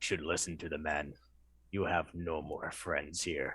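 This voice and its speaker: A man's booming put-on character voice, very deep and low in pitch, at a moderate pace. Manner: menacing.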